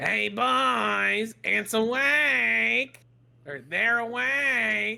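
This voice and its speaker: A put-on character voice drags along at a very slow pace. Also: man, medium pitch for a man. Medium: actual play.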